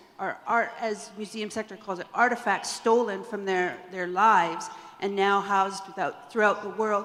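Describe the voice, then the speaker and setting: A woman in a Canadian accent speaks at a moderate pace with fairly even intonation over noticeable background noise. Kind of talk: audience question at a panel.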